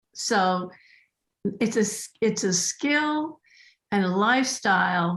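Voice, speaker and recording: A woman's voice is somewhat breathy and pitched in the medium range. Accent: American. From US West Coast, southern California. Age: 70s. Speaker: animal communicator and pet astrologer. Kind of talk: casual interview chat.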